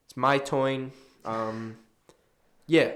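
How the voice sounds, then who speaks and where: Audible room echo carries a man's medium-pitched voice. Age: 20s. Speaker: sports podcast co-host. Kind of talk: casual chat. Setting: studio.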